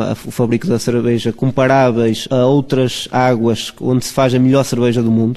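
Medium in pitch and dark, mellow in tone, a man delivers his words in a monotone, flat intonation. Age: 20s. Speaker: brewery founder and researcher. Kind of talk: interview. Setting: on location at the brewery.

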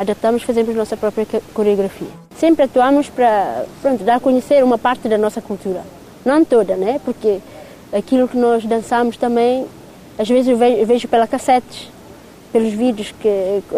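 Over noticeable background noise, a woman with a fairly high pitch talks at a moderate pace with fairly even intonation. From East Timor (Dili). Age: 30s. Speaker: dancer in a Timorese folk dance group. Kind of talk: interview testimony.

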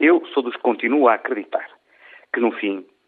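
A man with a European Portuguese accent, at a fairly quick pace. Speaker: radio commentator. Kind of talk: opinion commentary. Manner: formal.

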